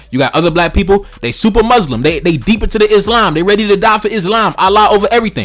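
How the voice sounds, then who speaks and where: Music plays in the background as a man speaks at a very fast pace. His intonation is lively. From Brooklyn, New York, with early childhood in Haiti. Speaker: political commentator YouTuber. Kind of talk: casual monologue commentary. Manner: animated, profane.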